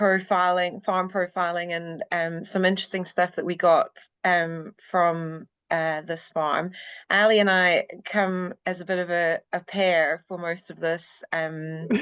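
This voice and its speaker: A woman's fairly low voice in a monotone, flat delivery at a fairly slow pace, dry and close with no echo against a quiet background. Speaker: university lecturer in veterinary science. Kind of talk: podcast interview. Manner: hesitant, many fillers.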